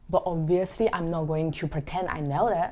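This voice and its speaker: Against a quiet background, a woman with a non-native accent speaks at a moderate pace in a fairly low pitch. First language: not English. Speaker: photographer, vlogger. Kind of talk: talking-head vlog.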